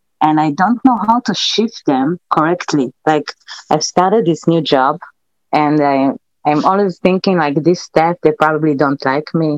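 A woman speaks at a fairly slow pace with a non-native accent and a very deep, low pitch. Her loudness stays very even. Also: ordinary pitch variation. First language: not English. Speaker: live stream caller. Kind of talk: call-in question. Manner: halting.

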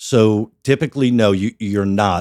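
An ordinary speaking voice: a man with an American accent, fairly low in pitch, with ordinary pitch variation. The sound is dry and close, with no echo. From Sparta, New Jersey, US. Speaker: planning board chairman. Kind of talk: interview, conversational.

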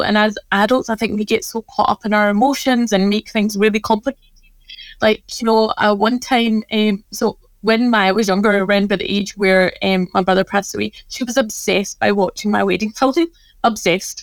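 With a Scottish accent, a woman speaks at a fairly high pitch and fairly even intonation in a dry, close recording without echo. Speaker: pharmacist and wellness business owner. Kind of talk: casual interview chat.

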